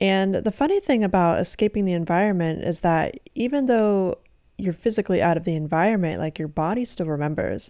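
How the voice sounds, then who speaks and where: A woman's medium-pitched voice, dark and mellow, with lively intonation at a fairly quick pace, in a very clean recording against a silent background. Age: 20s. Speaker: hypnotherapist and podcast host. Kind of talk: solo podcast monologue; guided breathing exercise.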